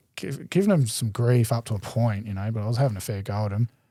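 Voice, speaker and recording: Over a very clean recording with a silent background, a man talks at a very fast pace with a dark, mellow tone, medium pitch and ordinary pitch variation, the sound dry and close with no echo. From Adelaide, South Australia. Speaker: BMX rider. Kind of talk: casual chat. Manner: loud, talkative.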